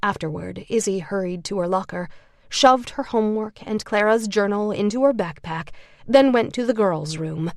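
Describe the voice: Plain reading aloud, delivered with lively intonation.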